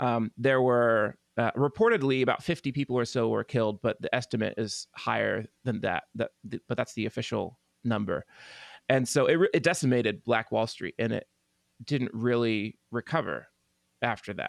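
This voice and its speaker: With an American accent, a man speaks at a moderate pace and medium pitch, with ordinary pitch variation and vocal fry. The sound is dry and close with no echo, over a quiet background. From Oklahoma (Tulsa). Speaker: pianist and composer. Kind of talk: interview conversation.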